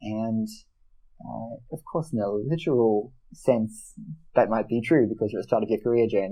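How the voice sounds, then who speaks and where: At a fairly slow pace, a man with an Australian accent speaks in a fairly low pitch. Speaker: mentoring program manager and debating coach. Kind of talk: interview. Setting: podcast. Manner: slight mumble.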